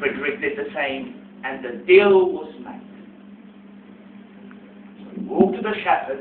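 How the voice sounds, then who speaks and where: With noticeable background noise behind him, a man speaks slowly-ish in a high pitch, his pitch swinging very widely and his speech broken by long, frequent pauses. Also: big swings in loudness. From Hungary. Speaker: storyteller. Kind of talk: live storytelling narration. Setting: cafe, live audience.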